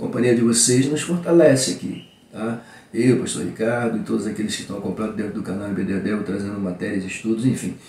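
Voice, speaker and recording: A man talks at a very fast pace with ordinary pitch variation. There is audible room echo. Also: medium pitch for a man. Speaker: pastor and Bible school teacher. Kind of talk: Bible lesson teaching. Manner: animated.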